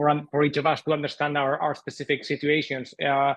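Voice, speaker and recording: A man with a Spanish accent, fairly high in pitch, at a fairly quick pace. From Spain. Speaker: author and entrepreneur. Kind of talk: interview.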